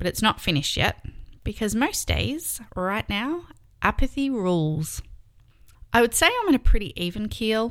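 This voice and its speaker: A woman with an Australian accent speaks at a moderate pace in a medium pitch, her pitch swinging very widely. The recording is very clean, with a silent background. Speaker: podcast host. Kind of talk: personal monologue.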